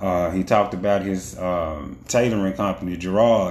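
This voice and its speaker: Speaking at a moderate pace, a man uses a fairly low pitch, ordinary pitch variation and a relaxed tone. Audible room echo surrounds his voice. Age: 40s. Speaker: podcast host. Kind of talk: casual live stream monologue. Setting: Facebook live stream. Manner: relaxed, conversational.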